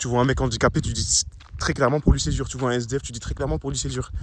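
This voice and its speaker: A man with a medium pitch rattles along at a very fast pace, his pitch varying in an ordinary way. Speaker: anonymous vlogger. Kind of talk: personal monologue vlog. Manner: mumbling, swallows words, halting.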